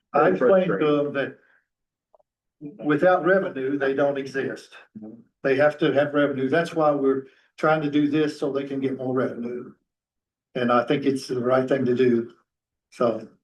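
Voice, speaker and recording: With long, frequent pauses, a man speaks at a moderate pace in a fairly high voice and fairly even intonation. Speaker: county council member. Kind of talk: public meeting discussion. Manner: soft-spoken; halting.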